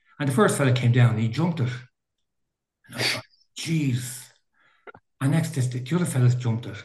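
A man with a Dublin accent speaks at a moderate pace in a medium pitch with ordinary pitch variation, his voice somewhat breathy against audible room echo. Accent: Irish, Dublin area. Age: 60s. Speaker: veteran mountain runner. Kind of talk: casual interview. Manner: halting.

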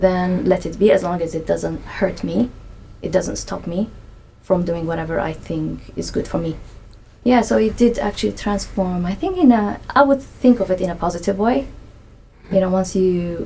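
A woman with an Arabic accent, medium pitch, ordinary pitch variation and a moderate pace. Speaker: anthropologist. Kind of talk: casual interview.

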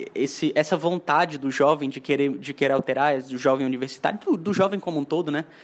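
A man speaks at a fairly high pitch for a man. His pitch varies in an ordinary way. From Mossoró, Rio Grande do Norte, Brazil. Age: 20s. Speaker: engineering student, young political activist. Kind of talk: casual discussion. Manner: halting, many repetitions and fillers.

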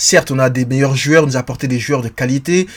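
A man speaks with fairly even intonation at a fairly high pitch. He has an unremarkable speaking voice. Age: 30s. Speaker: football podcast host. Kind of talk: casual chat.

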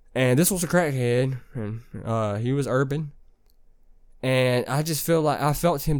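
In a very clean recording with a silent background, a man speaks at a moderate pace and medium pitch with ordinary pitch variation. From Alabama, US South. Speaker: solo podcast host. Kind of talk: profane comedic rant about a panhandler asking for fifty dollars. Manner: loud, incredulous, repeating himself with "boy" and "bruh"; loud.

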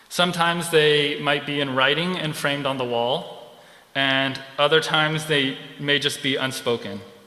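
A man with an American accent and fairly high pitch speaks at a moderate pace with fairly even intonation, with audible room echo. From California. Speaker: seminary intern preacher. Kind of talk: sermon.

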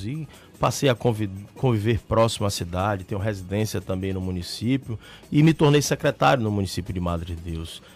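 Fairly low male voice at a fairly quick pace, with music playing in the background. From Brazil, Salvador, Bahia. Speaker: state politician, mayoral pre-candidate. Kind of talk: radio interview. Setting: radio studio.

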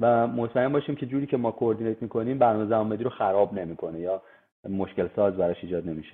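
His speech moves at a very fast pace. The pitch is medium for a man and varies in an ordinary way. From Iran. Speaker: construction engineer. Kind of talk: interview.

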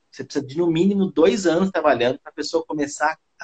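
Here is a man with a plain, everyday voice, pitched fairly high. He speaks at a fairly quick pace. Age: 40s. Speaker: physiotherapist and massage therapy teacher. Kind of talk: casual interview on live stream.

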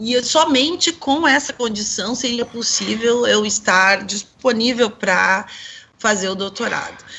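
The woman has a normal speaking voice with a fairly high pitch. Her pace is fairly slow, with ordinary pitch variation. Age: 40s. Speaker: sociologist and singer. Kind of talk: radio panel discussion.

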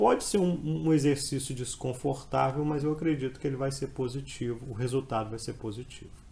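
A man talks fairly quickly in a dark, mellow, somewhat breathy voice, his pitch moving in an ordinary way. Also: medium pitch for a man, hardly any pauses. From Brazil, Espírito Santo (Colatina). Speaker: law exam prep professor. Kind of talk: podcast interview, explanatory lecture. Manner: halting, frequent repetitions.

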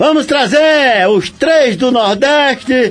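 A man speaks at an extremely high pitch. Music plays in the background. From Paraíba, Brazil. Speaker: radio host. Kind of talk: radio show presenting. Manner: animated.

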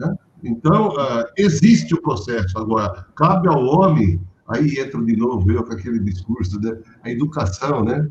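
This man has a medium pitch, and his voice swings very widely up and down. He sounds somewhat breathy and talks at a fairly slow pace. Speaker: professor. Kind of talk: panel discussion. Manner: halting.

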